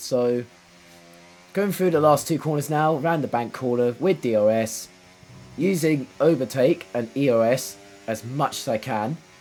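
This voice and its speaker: Noticeable background noise surrounds a man's voice. He has a fairly high pitch and lively intonation. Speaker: gaming commentator. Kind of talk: live gameplay commentary. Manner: repetitive filler-heavy, casual.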